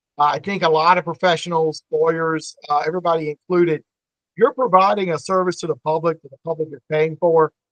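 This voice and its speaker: A man talks at a fairly high pitch and fairly quick pace, with fairly even intonation. His loudness swings widely, and the sound is dry and close with no echo. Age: 50s. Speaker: family law attorney. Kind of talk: podcast interview. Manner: halting, many fillers and repeats.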